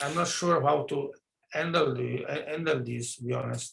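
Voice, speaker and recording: With lively intonation and a bright, sharp tone, a man speaks at a moderate pace in a room with audible echo. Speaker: virology researcher giving talk. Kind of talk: lecture. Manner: halting; soft-spoken. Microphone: too quiet.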